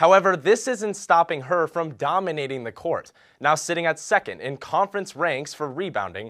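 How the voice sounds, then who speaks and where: This man has an ordinary speaking voice, fairly high in pitch, with lively intonation at a moderate pace. The sound is dry and close, without any echo. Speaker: student broadcast reporter. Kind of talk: TV news and sports report narration.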